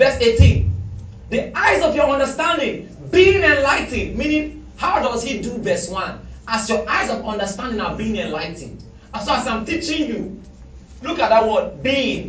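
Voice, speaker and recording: A man talks in an animated tone. Noticeable background noise runs behind him. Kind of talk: sermon; fervent prayer and commanding deliverance, in a sermon. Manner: loud, fervent, declaring and commanding, with repeated Amens; animated, preacherly, repeating phrases for emphasis.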